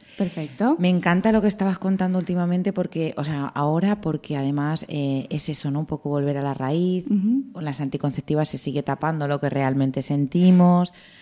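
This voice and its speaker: This woman's voice is very deep and low, with a dark, mellow tone. She talks at a fairly quick pace with ordinary pitch variation. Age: 20s. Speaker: radio host. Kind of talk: radio interview.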